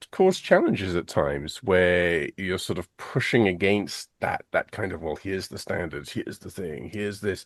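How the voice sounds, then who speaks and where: A man at a moderate pace with hardly any pauses and big swings in loudness, dry and close with no echo, over a quiet background. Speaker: math education specialist. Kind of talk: podcast interview.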